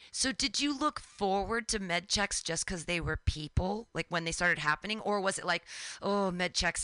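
Against a quiet background, a woman talks at a fairly quick pace in a bright, sharp, animated tone with lively intonation, the sound dry and close with no echo. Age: 40s. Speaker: radio host. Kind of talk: interview.

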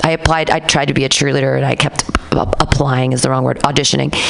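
Noticeable background noise surrounds a woman whose tone is animated. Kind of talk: casual chat.

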